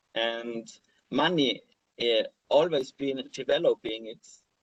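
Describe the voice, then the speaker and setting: A man's fairly high voice with an Austrian accent, very slow in pace, with long, frequent pauses, big swings in loudness and ordinary pitch variation. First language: German. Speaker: crypto blogger and speaker. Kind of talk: conference talk with slides. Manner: halting, many fillers and repeats.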